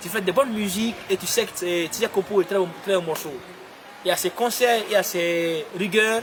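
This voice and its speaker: With noticeable background noise, a man speaks at a moderate pace in a high pitch with ordinary pitch variation. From Guinea. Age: 20s. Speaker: pop singer. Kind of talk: interview answer.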